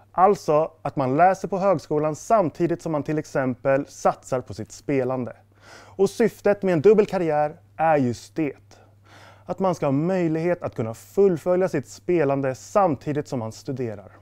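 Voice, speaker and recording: Dark, mellow tone, lively intonation and a moderate pace, with a dry sound with no echo and a quiet background. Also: man, fairly high pitch for a man. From Stockholm, Sweden. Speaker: sport psychology student, former esports player; esports coach. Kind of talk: scripted presentation. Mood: friendly, calm, smiling. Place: studio.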